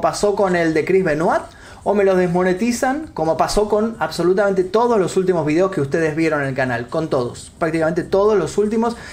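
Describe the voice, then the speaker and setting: Over noticeable background noise, a man with a high pitch talks at a fairly quick pace with lively intonation. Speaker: streamer and YouTuber. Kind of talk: live stream chat. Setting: live stream. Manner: casual, chatty.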